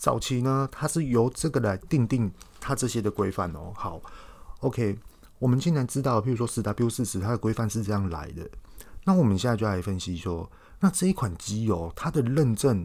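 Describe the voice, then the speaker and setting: A man speaks at a medium pitch and a moderate pace in a Taiwanese accent, with lively intonation. The recording is very clean, with a silent background. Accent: Taiwanese Mandarin. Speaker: podcast host. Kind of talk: casual explanatory monologue. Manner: hesitant, many filler words.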